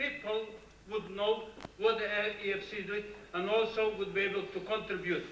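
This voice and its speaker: A man's high-pitched, raised and projected voice, with audible room echo and noticeable background noise. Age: 60s. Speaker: audience member. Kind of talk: conference floor question.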